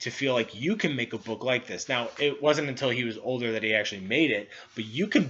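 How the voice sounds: Natural voice reading text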